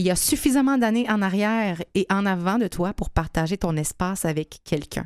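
A woman with a Quebec accent speaks at a medium pitch and a fairly slow pace, with lively intonation. The sound is dry and close with no echo, against a quiet background. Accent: Québécois French. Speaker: radio host. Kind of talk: casual chat. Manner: animated.

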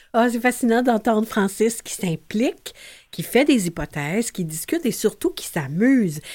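Fairly slow speech from a woman at a fairly high pitch, with very wide pitch swings, on a very clean recording over a silent background. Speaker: radio host. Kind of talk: radio show hosting.

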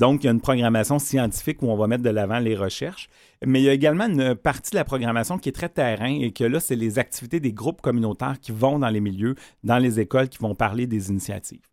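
This man speaks at a very fast pace at medium pitch with ordinary pitch variation. The recording is very clean with a silent background, and the sound is dry and close with no echo. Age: 40s. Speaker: organization director. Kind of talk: radio interview.

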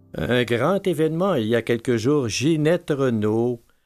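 Speaking at a very slow pace, a man uses a medium pitch with ordinary pitch variation. The recording is very clean, with a silent background. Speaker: radio music show host. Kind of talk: radio music presentation. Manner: halting.

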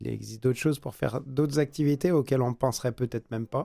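At a very fast pace, a man talks with a dark, mellow tone, medium pitch and fairly even intonation, the sound dry and close with no echo. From France. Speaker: business owner. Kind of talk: radio interview. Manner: halting.

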